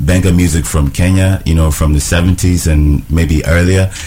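There is noticeable background noise behind this man. His very deep, low voice has fairly even intonation. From Ghana. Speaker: recording artist. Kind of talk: casual radio chat. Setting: radio studio.

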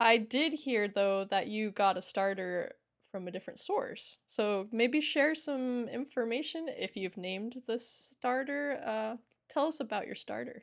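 The delivery comes at a fairly slow pace with lively intonation. It is a normal speaking voice. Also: woman, fairly high pitch for a woman. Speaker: podcast co-host. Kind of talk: casual chat.

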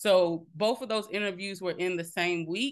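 With an American accent, a woman speaks in a plain, everyday voice at medium pitch and a moderate pace, with ordinary pitch variation over a quiet background. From South Carolina, small town. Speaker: healthcare technology executive. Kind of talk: interview.

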